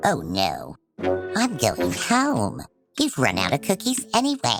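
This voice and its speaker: A cartoonish character voice speaks at a fairly slow pace over faint music in the background. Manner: grumbling, theatrical.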